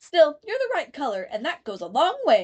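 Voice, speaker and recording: Using a put-on character voice, a woman speaks at a moderate pace with an extremely high pitch and very wide pitch swings. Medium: read story. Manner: prim, severe.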